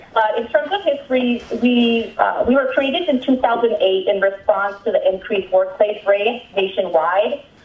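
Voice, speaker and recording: Noticeable noise sits behind the recording. The woman speaking keeps a moderate pace. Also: fairly high pitch for a woman, ordinary pitch variation, hardly any pauses. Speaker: immigrant rights network organizer. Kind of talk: training presentation. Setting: phone call played over a mic. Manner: loud. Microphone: phone line through room mic.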